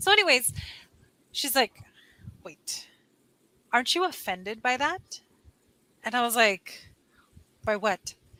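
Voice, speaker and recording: With a Californian accent, a woman speaks high and bright, her tone sharp. Her pitch swings very widely, with long, frequent pauses. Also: fairly slow pace. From California, US. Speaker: online English tutor. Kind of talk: casual chat. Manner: animated. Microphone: headphones without microphone, computer mic.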